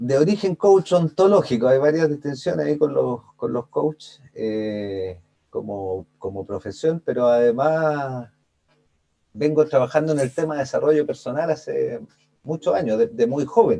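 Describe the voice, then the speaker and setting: At a fairly slow pace, a man speaks in a dark, mellow tone with fairly high pitch and very wide pitch swings. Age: 40s. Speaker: life coach. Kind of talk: interview.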